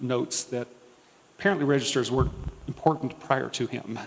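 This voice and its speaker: A man speaks softly. His pitch varies in an ordinary way. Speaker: diocesan historian and archivist. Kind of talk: talk to parish audience. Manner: soft-spoken.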